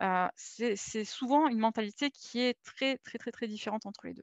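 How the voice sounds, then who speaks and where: Against a quiet background, a woman with a fairly high pitch talks in fairly even intonation, the sound dry and close with no echo. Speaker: UX designer for games. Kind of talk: conference talk. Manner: fast.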